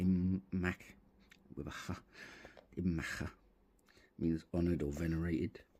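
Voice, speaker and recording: Music plays in the background as a man mumbles quietly. His pitch is very deep and low. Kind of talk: casual hobby tutorial to camera. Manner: mumbling, quiet.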